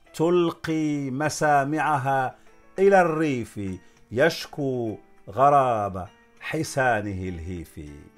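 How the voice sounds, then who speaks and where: This man has a fairly high pitch and lively intonation, speaking at a very slow pace. Faint music plays in the background. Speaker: academic, doctor of law and literature. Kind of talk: poetry reading. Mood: calm, expressive. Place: garden. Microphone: phone near.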